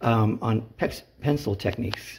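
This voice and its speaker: This man's pitch varies in an ordinary way as he talks at a very slow pace. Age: 60s. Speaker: artist and scientific illustrator, former teacher. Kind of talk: casual tutorial. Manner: halting, many fillers and restarts.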